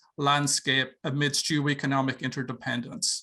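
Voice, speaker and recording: A bright, sharp tone in an Irish accent at a fairly slow pace against a quiet background. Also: man. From Ireland. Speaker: professor. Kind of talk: lecture. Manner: halting, many fillers.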